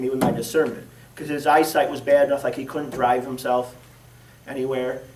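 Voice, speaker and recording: A man's fairly quick speech carries audible echo from the room. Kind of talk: personal testimony talk. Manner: projected church voice; casual, with many fillers.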